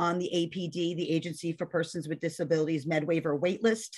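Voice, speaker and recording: A woman speaks at a very fast pace. Her voice is fairly low in pitch, with monotone, flat intonation. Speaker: parent training coordinator. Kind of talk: webinar presentation.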